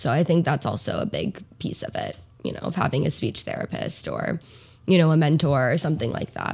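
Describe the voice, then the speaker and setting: Heard in a very clean recording with a silent background, a woman's somewhat breathy voice sits at a very deep, low pitch with ordinary pitch variation. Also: fairly quick pace. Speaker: speech therapist. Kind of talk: casual interview.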